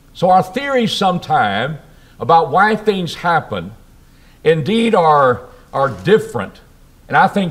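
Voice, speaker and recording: A man speaks at a fairly slow pace with vocal fry. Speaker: preacher. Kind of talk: sermon. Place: church. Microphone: podium.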